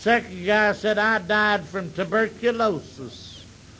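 A man with a Southern US accent speaks in a raised, projected voice, pitched high. His pitch varies in an ordinary way, and his pace is very slow. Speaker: comedian. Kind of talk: stand-up. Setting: stage with audience.

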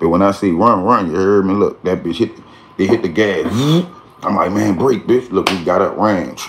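A man's fairly low-pitched voice, ordinary in its pitch variation, at a fairly quick pace over light background noise. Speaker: storyteller. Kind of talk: casual vlog chat. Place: home room. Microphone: phone near.

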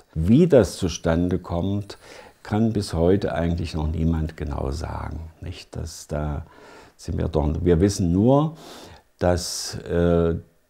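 Over a quiet background, a man with a very deep, low pitch talks at a very slow pace with ordinary pitch variation. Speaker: speech therapist. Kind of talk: interview answer. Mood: calm, explanatory. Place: home room. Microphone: lapel.

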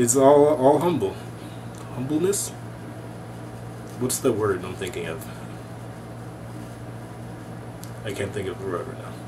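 A man at a moderate pace, with long, frequent pauses and noticeable background noise. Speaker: MBA student vlogger. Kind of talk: casual vlog chat. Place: home room. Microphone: webcam.

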